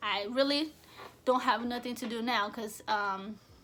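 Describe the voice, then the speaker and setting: Bright and sharp in tone, a woman's high-pitched voice moves at a fairly slow pace with fairly even intonation. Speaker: vlogger. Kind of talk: casual monologue to camera. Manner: occasional stutter on camera; rambling, conversational.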